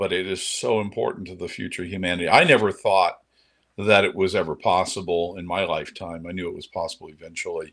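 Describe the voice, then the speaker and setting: A man races along at a very fast pace, captured in a very clean recording with a silent background. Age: 60s. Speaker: space entrepreneur and engineer. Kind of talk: interview conversation. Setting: podcast interview. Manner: animated.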